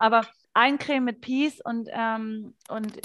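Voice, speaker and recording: This is a normal speaking voice from a woman. She pitches fairly high, with fairly even intonation. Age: 30s. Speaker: essential oils distributor, former radio ad sales. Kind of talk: casual interview chat.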